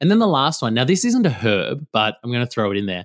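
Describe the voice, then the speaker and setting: This is a man speaking with an Australian accent. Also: very clean recording, silent background. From Western Australia, rural. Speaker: nutritionist and naturopath. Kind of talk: casual interview.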